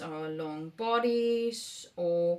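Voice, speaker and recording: A woman speaks in a Danish accent with ordinary pitch variation. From Denmark. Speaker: knitting vlogger. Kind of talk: casual vlog talk. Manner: halting, many fillers.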